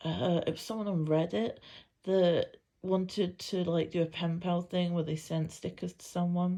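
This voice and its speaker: A woman with a British accent, fairly low and dark, mellow in tone, at a moderate pace with fairly even intonation and big swings in loudness against a quiet background. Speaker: planner vlogger. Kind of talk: casual show-and-tell tutorial. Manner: casual with frequent fillers.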